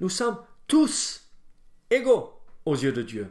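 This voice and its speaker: Speech at a very slow pace with an American accent. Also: man. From United States. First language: English (speaking French). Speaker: pastor. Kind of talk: bible study teaching. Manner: hesitant, many fillers.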